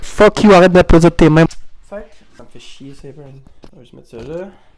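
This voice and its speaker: This man has a fairly high pitch and speaks with a Quebec accent. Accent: Québécois French. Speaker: YouTuber. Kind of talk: casual vlog monologue. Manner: animated.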